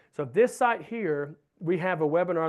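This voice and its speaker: A man with a high pitch against a quiet background. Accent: Southern US. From US Southeast. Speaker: wildlife researcher. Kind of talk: lecture.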